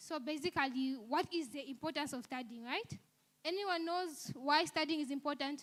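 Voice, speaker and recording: Pitched high, a woman's voice moves with ordinary pitch variation. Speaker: university student speaker. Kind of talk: seminar talk. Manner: fast; swallows words.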